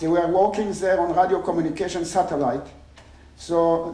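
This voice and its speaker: Amid audible room echo, a man with a high pitch and a dark, mellow tone talks with fairly even intonation. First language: not English. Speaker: engineering professor. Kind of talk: conference talk. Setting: stage with audience. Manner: halting.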